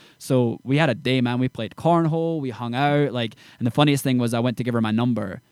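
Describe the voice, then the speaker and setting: A very fast-talking man with a Scottish accent, medium in pitch, with ordinary pitch variation. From Scotland, Edinburgh area small town. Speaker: country singer. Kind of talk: casual interview chat. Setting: studio.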